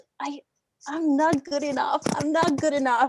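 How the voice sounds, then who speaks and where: A woman speaks in a high voice. She has a non-native accent. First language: not English. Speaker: student panelist. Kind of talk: panel discussion.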